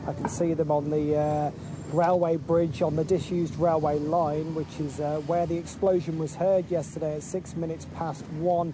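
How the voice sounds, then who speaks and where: This man speaks at a fairly high pitch in a monotone, flat intonation over noticeable background noise. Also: moderate pace. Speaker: radio reporter. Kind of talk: live report. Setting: outdoors.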